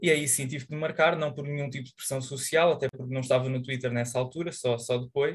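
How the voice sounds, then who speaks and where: At a very fast pace, a man with a medium pitch speaks with fairly even intonation and a somewhat breathy sound. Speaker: student magazine member. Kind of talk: online editorial meeting.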